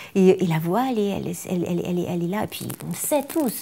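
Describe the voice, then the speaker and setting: With lively intonation and a fairly quick pace, a woman speaks in a somewhat breathy, medium-pitched voice that has a dark, mellow tone. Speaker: singer and vocal coach. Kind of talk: interview. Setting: by a fireplace. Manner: hesitant, many repetitions.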